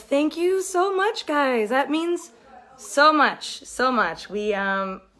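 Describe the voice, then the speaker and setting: Very wide pitch swings from a female speaker, with noticeable background noise behind her. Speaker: TV show cast member hosting a livestream. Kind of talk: casual livestream chat. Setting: live video stream at a party in her mother's house.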